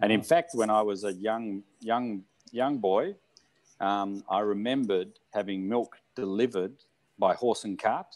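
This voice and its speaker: A man with an Australian accent speaks fairly slowly at a fairly low pitch. His pitch varies in an ordinary way against a quiet background. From Australia, Melbourne area. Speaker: hot spring spa founder, entrepreneur. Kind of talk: oral history interview. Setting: remote video call. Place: home room. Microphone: video call.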